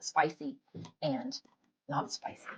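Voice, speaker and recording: A woman with a strong Southern US accent speaks with very wide pitch swings. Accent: thick Southern US. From US South. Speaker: food blogger. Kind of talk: casual chat.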